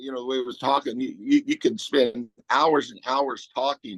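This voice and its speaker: Recorded dry and close with no echo, the man's voice is fairly high. He talks at a moderate pace with ordinary pitch variation. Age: 60s. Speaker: supplement company representative. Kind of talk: online interview presentation. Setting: video call. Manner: halting, many repetitions.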